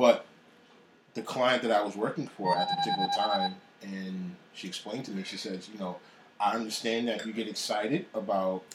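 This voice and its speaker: Intonation stays fairly even at a moderate pace. There is noticeable background noise. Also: man. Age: 30s. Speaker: executive chef. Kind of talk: interview.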